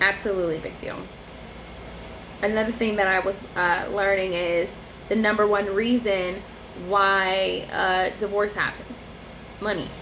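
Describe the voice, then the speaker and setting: A woman speaks at a medium pitch and a fairly slow pace with long, frequent pauses. Her intonation is monotone and flat, and room echo is audible. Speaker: vlogger. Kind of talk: casual monologue vlog. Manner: halting.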